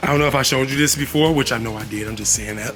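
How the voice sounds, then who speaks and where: A man speaks at a fairly high pitch. Music plays in the background. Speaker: YouTuber, vlogger. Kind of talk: casual vlog talk to camera, house tour. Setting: outdoors in backyard. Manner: fast.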